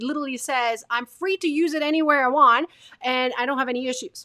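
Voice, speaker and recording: The voice is raised and projected, with a bright, sharp tone. It runs at a very fast pace with fairly even intonation. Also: woman. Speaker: video marketing coach. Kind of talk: tutorial. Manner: varied pitch, expressive.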